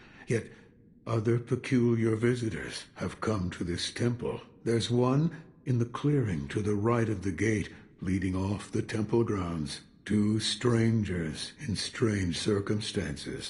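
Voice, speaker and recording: A man speaks in a put-on character voice at medium pitch, with ordinary pitch variation and a fairly slow pace. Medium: video game. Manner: terse, gruff, cryptic.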